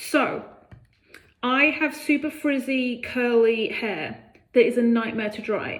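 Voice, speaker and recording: A high-pitched woman with a British accent, ordinary pitch variation, noticeable background noise. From UK. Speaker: product reviewer. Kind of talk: casual talk to camera.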